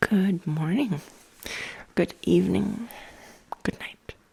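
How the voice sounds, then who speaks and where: A soft-spoken woman is whispering. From US South East Coast. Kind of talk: ASMR ramble. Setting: at home. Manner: whispered, soft-spoken.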